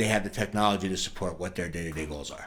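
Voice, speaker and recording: Speaking with an American accent, a man uses ordinary pitch variation amid audible room echo. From New York. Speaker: sales director at a software company. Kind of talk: podcast interview.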